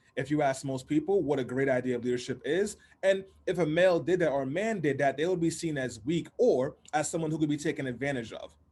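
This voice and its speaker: A man speaks at a very fast pace with a fairly high pitch. His tone is animated, and his pitch varies in an ordinary way. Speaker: political campaign director. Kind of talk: panel talk.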